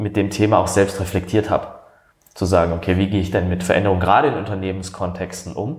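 A man with a fairly low pitch races along at a very fast pace, his intonation fairly even. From Baden, southern Germany. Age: 30s. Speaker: coach. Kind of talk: interview conversation. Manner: hesitant, many fillers.

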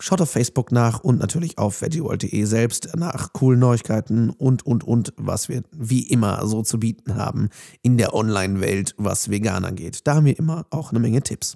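This man talks at a moderate pace with hardly any pauses, his medium pitch showing ordinary variation and his tone dark and mellow, in a dry, close sound with no echo. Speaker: podcast host and voice-over speaker. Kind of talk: podcast intro and outro. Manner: casual.

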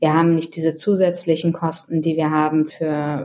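A woman talks at a moderate speed, her fairly low voice held in a flat monotone. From northern Germany. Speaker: marketing executive. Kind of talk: interview.

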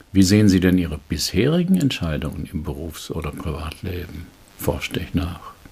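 The pace is moderate and the pitch varies in an ordinary way. There is noticeable background noise. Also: man, very deep, low pitch for a man. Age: 70s. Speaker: executive trainer and coach. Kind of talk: reading aloud a case report.

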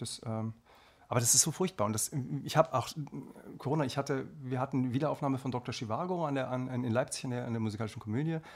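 At a very fast pace, a man with a slight Hessian accent talks at a medium pitch with ordinary pitch variation. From Hesse, Marburg. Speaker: singer and actor. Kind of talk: casual chat. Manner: halting, many fillers.

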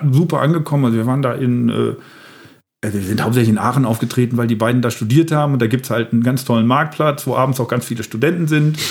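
Here a man talks at a very fast pace, his medium pitch showing ordinary variation. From Lower Rhine, Germany (Emmerich). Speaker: comedian. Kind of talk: casual chat.

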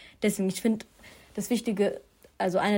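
A woman speaks at a very fast pace. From Germany, Duisburg. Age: 20s. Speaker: student and young media presenter. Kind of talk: interview conversation.

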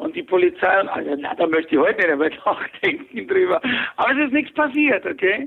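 A man's extremely high voice with very wide pitch swings at a fairly quick pace. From Bavaria, Fürstenfeldbruck near Munich. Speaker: former tax advisor and convicted fraudster. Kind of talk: interview. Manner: hesitant, many filler sounds.

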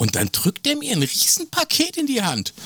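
A man is speaking. His pace is fairly slow. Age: 50s. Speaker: podcast co-host. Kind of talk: casual chat.

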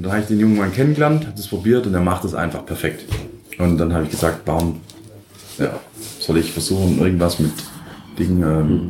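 A man speaks at a very fast pace with lively intonation, amid noticeable background noise and audible room echo. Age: 30s. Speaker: head chef. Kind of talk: interview. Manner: halting, many fillers.

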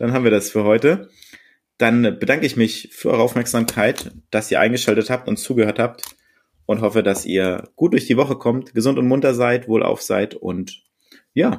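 A man's pitch is medium and varies in an ordinary way. He keeps to a moderate pace. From Berlin. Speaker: podcast co-host. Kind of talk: casual chat.

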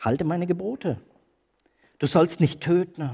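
At a moderate pace, a man speaks in a high pitch with an animated tone. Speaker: preacher. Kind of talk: sermon. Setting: church. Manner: urgent, emphatic preaching, pressing and challenging the congregation; animated, rhetorical questions, pauses for effect, calls for commitment.

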